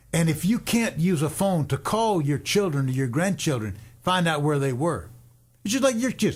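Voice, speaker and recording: Recorded very cleanly against a silent background, a man with a fairly high pitch talks at a moderate pace, his pitch swinging very widely. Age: 70s. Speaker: radio host and worship leader. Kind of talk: radio talk show discussion. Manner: halting, repetitive.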